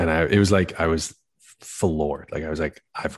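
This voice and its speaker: At a moderate pace, a man speaks with a very deep, low pitch. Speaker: podcast host. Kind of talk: casual chat. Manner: calm radio-style delivery.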